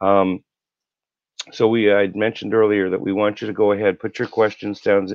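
Over a quiet background, a man talks at a fairly low pitch with ordinary pitch variation. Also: dry sound with no echo. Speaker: co-host of a health live show. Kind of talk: live interactive health show. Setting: live online broadcast. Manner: casual, warm, rambling. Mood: earnest, personal.

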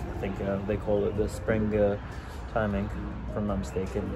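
Music plays behind this speaker. He is a man talking at a fairly quick pace. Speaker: pipe-smoking vlogger. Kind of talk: casual vlog chat. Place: cafe. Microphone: lapel.

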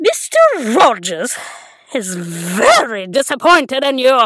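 Using a cartoonish character voice, a woman speaks at a high pitch with very wide pitch swings. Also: fairly slow pace. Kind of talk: animation audition. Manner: angry, insulting.

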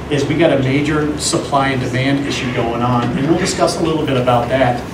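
Noticeable background noise sits behind the voice. A man speaks at a very fast pace. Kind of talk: public meeting presentation. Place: meeting room. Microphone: camera far.

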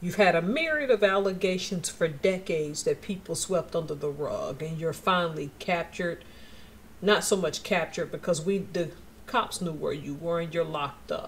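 Noticeable background noise beneath a woman's voice of ordinary pitch variation. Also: moderate pace. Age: 40s. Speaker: YouTuber. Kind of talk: casual commentary vlog. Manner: animated.

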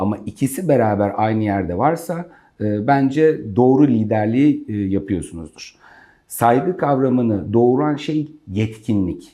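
A man speaks very slowly at a medium pitch, in a dark, mellow tone. His intonation is lively. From Gaziantep, Turkey. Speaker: company CEO. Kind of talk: interview answers about career and leadership. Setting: in his office, interview.

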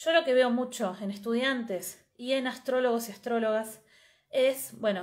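A woman speaks with a high pitch at a moderate pace. The background is quiet. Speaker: astrologer and astrology teacher; astrology teacher. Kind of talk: live stream talk. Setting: live video stream. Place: home room. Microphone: earbuds.

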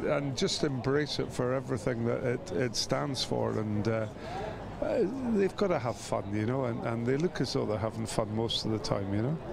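Against noticeable background noise, a man with a Scottish accent speaks at a moderate pace with lively intonation. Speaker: former rugby player. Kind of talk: interview. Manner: hesitant, many fillers.

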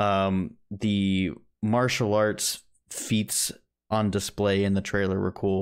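A man's fairly low voice comes through against a quiet background. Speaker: movie podcast co-host; podcast co-host. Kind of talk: casual chat. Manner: sarcastic-sounding. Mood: enthusiastic, a bit sarcastic. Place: home room.

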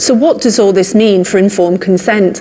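A woman's voice comes through over light background noise. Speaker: news reporter. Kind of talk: news report to camera. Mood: serious, measured. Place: studio.

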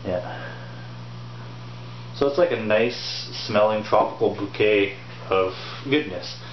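At a slow pace, a man talks with a fairly low pitch and ordinary pitch variation over clear background noise.

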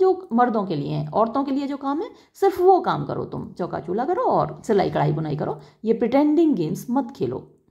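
Her pitch fairly high and swinging very widely, a woman speaks with vocal fry amid audible room echo. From India. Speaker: English literature teacher. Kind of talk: lecture.

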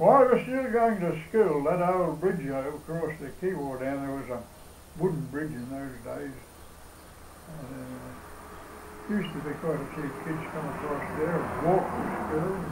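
Over noticeable background noise, a man with a rural Australian accent speaks at a fairly slow pace, with lively intonation and big swings in loudness. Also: fairly high pitch for a man. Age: 80s+. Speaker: elderly local recalling his past. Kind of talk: oral history interview answer. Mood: reminiscing, conversational. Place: home room. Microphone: camera far.

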